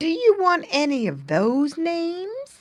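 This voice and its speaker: Put-on character voice, female-sounding and extremely high in pitch. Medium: read story.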